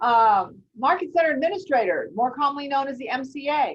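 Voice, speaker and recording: Lively intonation in a woman's voice. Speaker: real estate recruitment presenter. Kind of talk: business webinar presentation. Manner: fast.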